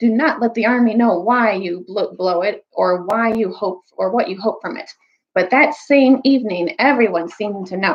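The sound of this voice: Ordinary pitch variation from an unforced reading voice, quiet background behind it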